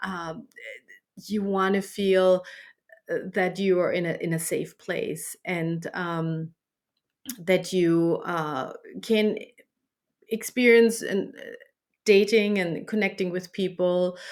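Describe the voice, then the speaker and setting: Speaking at a very slow pace with a German accent, a woman keeps a fairly even intonation and leaves long, frequent pauses. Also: medium pitch for a woman. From Germany. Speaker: dating app founder. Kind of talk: interview. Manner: halting, many fillers and repeats.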